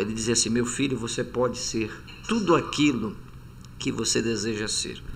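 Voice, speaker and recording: A man of medium pitch speaks at a moderate pace with ordinary pitch variation. Room echo is audible. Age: 60s. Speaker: Hebrew professor and reverend. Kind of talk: podcast interview.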